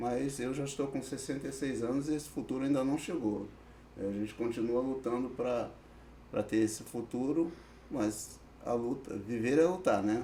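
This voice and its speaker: There is audible room echo as a man with a dark, mellow tone and medium pitch talks at a moderate pace with ordinary pitch variation. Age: 60s. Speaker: social worker with youth offenders. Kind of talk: podcast interview. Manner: hesitant, many fillers.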